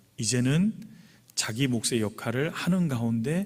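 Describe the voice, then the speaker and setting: Lively intonation marks this man's delivery. His pitch sits in the medium range. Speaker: pastor. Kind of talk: sermon. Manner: fast.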